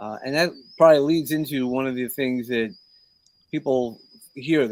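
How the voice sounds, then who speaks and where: At a moderate pace, a man talks in a New York accent at a medium pitch with ordinary pitch variation. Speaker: mentor and podcast host. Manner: hesitant, many fillers.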